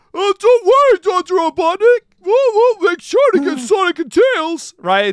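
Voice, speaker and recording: Someone does a put-on character voice at an extremely high pitch. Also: moderate pace. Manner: eager, subservient.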